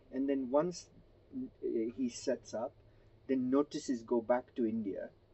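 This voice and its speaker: A man talks in a Gujarati accent with ordinary pitch variation. His pace is fairly slow. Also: medium pitch for a man. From Kenya (Gujarati family). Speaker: interviewee sharing family history. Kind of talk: interview, family history account.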